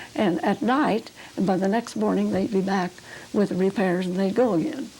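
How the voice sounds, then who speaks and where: In a rural Oklahoma accent, a woman talks at a moderate pace and a medium pitch with ordinary pitch variation. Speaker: pioneer settler recounting childhood. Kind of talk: oral history interview. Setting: videotaped interview at home.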